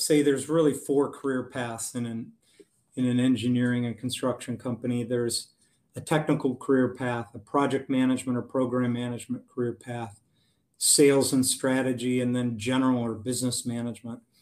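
The man has a medium-pitched voice. He talks at a moderate pace. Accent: Upper Midwest. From US Midwest, Wisconsin. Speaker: engineering firm president. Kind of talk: interview.

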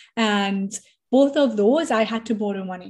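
A somewhat breathy woman's voice, fairly high in pitch, at a moderate pace with ordinary pitch variation and a quiet background. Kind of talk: motivational pep talk, directly addressing listeners. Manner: emphatic, fired-up, urgent and encouraging; repetitive, rhythmic, building in intensity.

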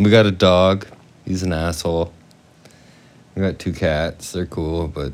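With a western Canadian accent, a man talks in a very deep, low voice at a fairly slow pace, using fairly even intonation and long, frequent pauses. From western Canada (British Columbia and Alberta). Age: 40s. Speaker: podcast co-host. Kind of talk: casual chat.

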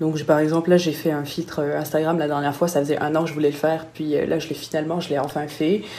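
This woman's voice sits very deep and low, with a dark, mellow tone. Room echo is audible. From southern France, Nice. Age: 20s. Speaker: freelance graphic designer. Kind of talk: casual interview. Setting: video call.

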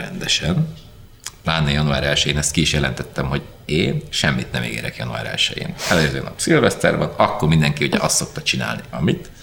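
The pace of speech is moderate. There is noticeable background noise. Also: man. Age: 40s. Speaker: rock drummer. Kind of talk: interview storytelling. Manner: loud.

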